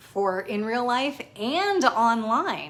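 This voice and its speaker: A woman speaks in an animated tone at a fairly high pitch, her voice swinging very widely. Noticeable background noise runs underneath. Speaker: personal chef and business coach. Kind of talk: tutorial.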